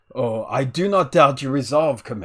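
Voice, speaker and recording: Putting on a character voice, a man talks at a moderate pace and a medium pitch. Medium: actual play. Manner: warm, confident, amused.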